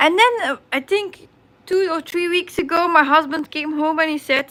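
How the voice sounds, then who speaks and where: A woman speaks in a raised, projected voice at a fairly slow pace. Her pitch is high. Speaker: crafting livestreamer. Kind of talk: casual chat on livestream. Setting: live stream. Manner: halting.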